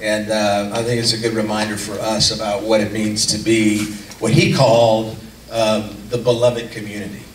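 Moderate-paced male speech in a room with audible echo and light background noise. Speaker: community group leader. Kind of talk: casual announcements and informal talk to a small group. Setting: in a room with a small group in person, playing video. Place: hall.

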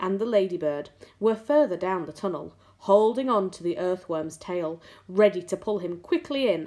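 Intonation stays lively throughout this unforced reading voice.

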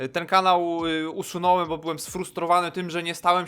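Speaking at a fairly quick pace, a man with a high pitch and a bright, sharp tone comes through on a very clean recording with a silent background. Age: 20s. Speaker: youtuber. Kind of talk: casual monologue to camera.

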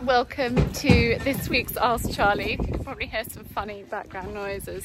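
Clear music plays behind a woman speaking at a fairly slow pace. Her sound is dry, with no echo. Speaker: vlogger. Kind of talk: casual vlog chat. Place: farm. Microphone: phone near.

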